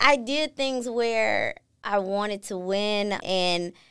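A woman speaks with an American accent and a fairly high pitch. Her pitch variation is ordinary, and the recording is very clean with a silent background. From US Midwest, Milwaukee, Wisconsin. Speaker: industrial engineer. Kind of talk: interview.

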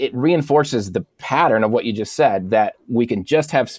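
Here a man speaks at a moderate pace and medium pitch. It is an ordinary speaking voice with ordinary pitch variation. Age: 40s. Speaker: pastor and author. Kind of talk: interview conversation.

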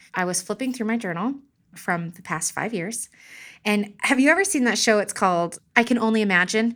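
A woman talks at a fairly quick pace in a normal speaking voice, fairly high with ordinary pitch variation. The recording is very clean, with a silent background. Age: 30s. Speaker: mother of four, small art business owner. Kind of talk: casual interview, personal testimony.

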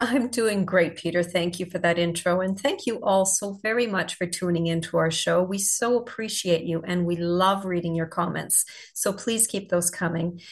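At medium pitch and a moderate pace, a somewhat breathy woman speaks with ordinary pitch variation and hardly any pauses. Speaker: podcast co-host. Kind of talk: casual interview chat.

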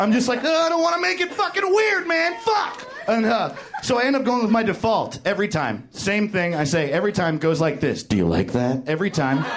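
In an American accent, the speaker moves at a fairly quick pace with very wide pitch swings and very even loudness, against noticeable background noise. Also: man, high pitch for a man. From New York. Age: 30s. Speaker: comedian. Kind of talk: stand-up. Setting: stage with audience.

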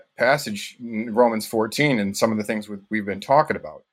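At a moderate pace and with fairly even intonation, the speaker talks in an American accent on a very clean recording with a silent background. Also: man. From northern Michigan, US. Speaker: dishwasher. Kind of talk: casual chat.

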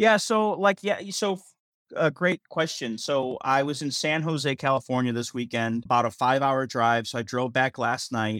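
A man with an ordinary speaking voice talks at a moderate pace and medium pitch, his intonation lively, in a dry, close sound with no echo. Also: very clean recording, silent background. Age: 40s. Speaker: stand-up comedian. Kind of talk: casual interview chat.

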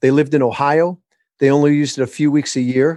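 Speaking with an American accent, a man uses an ordinary speaking voice at a fairly quick pace. The background is quiet. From Michigan. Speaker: author and business coach. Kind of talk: interview.

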